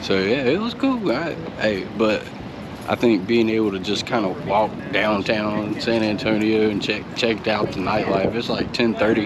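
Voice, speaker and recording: A man with a North Carolina accent talks at a moderate pace in a fairly low pitch with fairly even intonation, with audible room echo and noticeable background noise. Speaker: family travel vlogger. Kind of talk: casual vlog talk. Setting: outdoors downtown at night.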